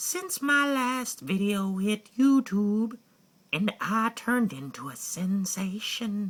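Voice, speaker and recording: In a put-on character voice, a female-sounding speaker at medium pitch talks very slowly. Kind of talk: comic monologue. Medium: solo performance. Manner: rambling, comic, excitable.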